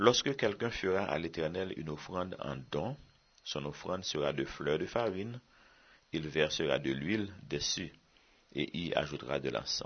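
A man with a very deep, low pitch and vocal fry, lively intonation and a fairly slow pace. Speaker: Bible teacher. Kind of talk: sermon.

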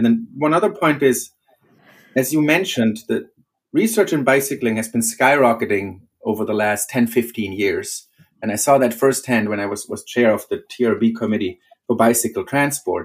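A man with a German accent, medium pitch, ordinary pitch variation and a moderate pace. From Germany. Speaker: professor. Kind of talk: interview.

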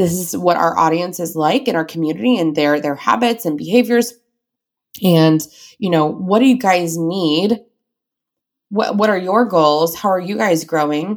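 A woman with an American accent has an unremarkable speaking voice, fairly low in pitch, with lively intonation at a moderate pace. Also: very clean recording, silent background. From US suburbs. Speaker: former teacher turned business owner. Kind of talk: interview.

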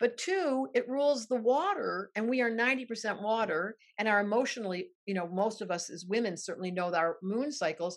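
Hardly pausing, a woman with a fairly high pitch speaks at a moderate pace with lively intonation. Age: 60s. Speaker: astrologer. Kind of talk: casual interview. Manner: animated.

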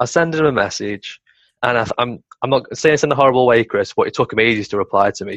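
A Potteries accent at a very fast pace with ordinary pitch variation, set against a quiet background with a dry, close sound and no echo. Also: man, medium pitch for a man. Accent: Potteries (North Staffordshire) English. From Stoke-on-Trent, England. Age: 20s. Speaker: entrepreneur. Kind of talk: casual chat.

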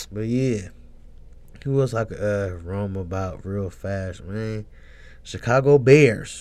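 Very slowly, a man speaks in a fairly low voice with ordinary pitch variation. His loudness swings widely, and he leaves long, frequent pauses. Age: 30s. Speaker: sports podcaster. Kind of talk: casual monologue. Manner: laid-back, rambling.

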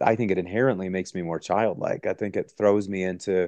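Speaking at a very fast pace, a man with a dark, mellow tone and ordinary pitch variation sounds dry and close with no echo against a quiet background. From US Midwest, Wisconsin. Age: 40s. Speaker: pastor and author. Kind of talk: interview conversation.

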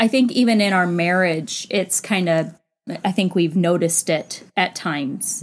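An ordinary speaking voice from a woman, medium in pitch with ordinary pitch variation, at a fairly slow pace, in a very clean recording with a silent background. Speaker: co-host, wife. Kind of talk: casual conversational podcast discussion.

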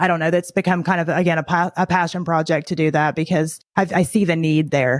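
In an unremarkable speaking voice, a woman talks at a moderate pace with a fairly low pitch and fairly even intonation, the sound dry and close with no echo on a very clean recording with a silent background. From Tennessee, US South. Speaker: podcaster and entrepreneur. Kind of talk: casual interview chat.

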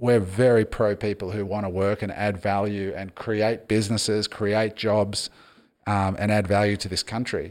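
In an Australian accent, a man speaks at a fairly low pitch in a flat monotone on a very clean recording with a silent background. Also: moderate pace. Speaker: podcast host. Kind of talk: casual chat.

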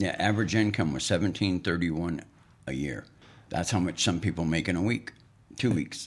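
A man speaks at a moderate pace with a very deep, low pitch. His voice carries vocal fry and ordinary pitch variation. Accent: American. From northeastern Montana. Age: 60s. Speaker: host's father, sharing life history. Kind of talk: casual chat. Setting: studio.

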